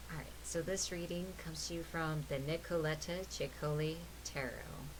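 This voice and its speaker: A woman talks at a moderate pace, with audible echo from the room. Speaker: tarot reader and spiritual stream host. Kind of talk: tarot reading livestream. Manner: soft-spoken; quieter than usual.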